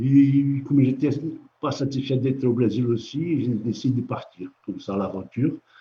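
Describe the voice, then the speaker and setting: This man's medium-pitched voice moves with fairly even intonation. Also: moderate pace. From Brazil (São Paulo). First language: Portuguese (speaking French). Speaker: comic book artist. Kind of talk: interview. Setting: live stream from an art gallery. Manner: halting.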